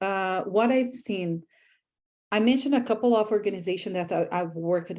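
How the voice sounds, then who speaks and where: A woman with a strong non-native accent speaks at a moderate pace and medium pitch, her pitch varying in an ordinary way over a quiet background. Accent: foreign accent, strong. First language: not English. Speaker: graduate student, panel moderator. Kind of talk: panel discussion.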